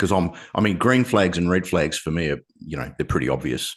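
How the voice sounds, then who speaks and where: Against a quiet background, a man talks at a fairly quick pace with vocal fry and very wide pitch swings. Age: 60s. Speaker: podcast host. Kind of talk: interview.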